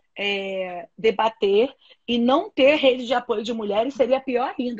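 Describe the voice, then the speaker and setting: With a dry, close sound and no echo, a woman talks at a fairly slow pace in a high pitch, her tone animated and her pitch variation ordinary. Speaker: activist and institute director. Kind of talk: interview conversation.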